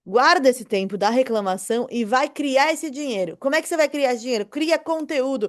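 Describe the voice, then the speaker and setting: A woman talks in an animated tone at a high pitch with lively intonation. Her pace is fairly quick. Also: quiet background. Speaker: online marketing teacher. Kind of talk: online lecture. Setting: recorded video class.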